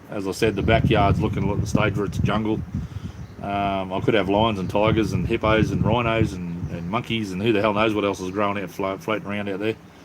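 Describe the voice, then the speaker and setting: Over noticeable background noise and audible room echo, a man with an Australian accent speaks at a fairly quick pace, his fairly low voice keeping a fairly even intonation. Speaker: livestreamer. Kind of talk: casual chat. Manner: casual, halting with fillers.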